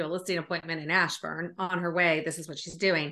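A woman speaks very fast in a bright, sharp tone with an American accent, her pitch fairly low. The background is quiet. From Northern California. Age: 40s. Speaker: real estate agent. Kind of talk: podcast interview.

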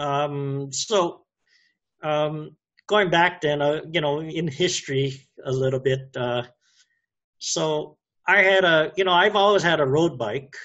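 With a Hawaiian accent, a man talks at a very slow pace, leaving long, frequent pauses, and his pitch varies an ordinary amount. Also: fairly high pitch for a man. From Hawaii (Oahu, Wahiawa). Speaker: cyclist. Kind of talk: casual interview.

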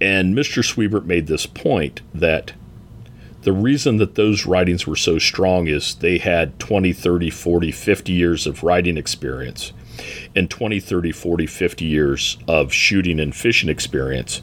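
This man has a very deep, low voice. He speaks at a fairly slow pace. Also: ordinary pitch variation. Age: 50s. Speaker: fly fishing outfitter and writer. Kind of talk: casual interview. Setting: on location at a fly shop.

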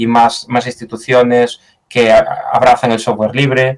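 A man in a Galician accent at a fairly slow pace. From Galicia, Spain. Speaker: software engineer. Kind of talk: interview. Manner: hesitant, with fillers and repetitions.

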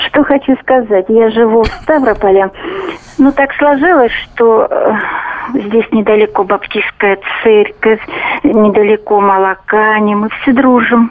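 Against noticeable background noise, the speech goes at a very slow pace with long, frequent pauses, very even loudness and ordinary pitch variation. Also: woman, fairly high pitch for a woman. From Stavropol, southern Russia. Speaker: radio caller. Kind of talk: phone-in opinion.

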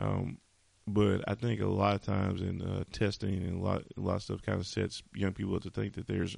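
With vocal fry and a fairly low pitch, a man speaks at a moderate pace. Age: 40s. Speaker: podcast host, military veteran. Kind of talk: solo podcast monologue. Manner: casual with many filler words.

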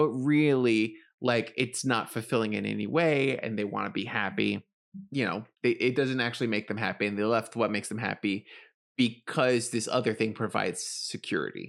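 A medium-pitched man with an American accent and vocal fry, ordinary pitch variation, and a moderate pace, on a very clean recording with a silent background. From US, grew up in the projects. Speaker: podcast co-host. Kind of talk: casual chat.

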